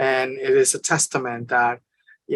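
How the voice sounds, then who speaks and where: A woman with a Spanish accent speaks in a very deep, low voice at a fairly slow pace. Her intonation is monotone and flat. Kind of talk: panel discussion. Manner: halting, many fillers.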